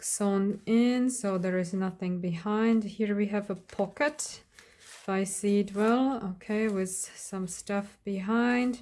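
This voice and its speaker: The speaker has a Slovak accent and a dark, mellow tone, with fairly even intonation. Delivery is very slow on a very clean recording with a silent background. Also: woman, medium pitch for a woman. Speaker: crafter. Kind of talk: craft flip-through video. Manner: casual, hesitant with fillers.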